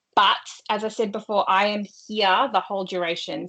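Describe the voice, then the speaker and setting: Against a quiet background, a woman talks with an Australian accent. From Australia, partly North Queensland. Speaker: workshop trainer on neuro-affirming practice. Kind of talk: professional training presentation. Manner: no swearing, lower, professional tone.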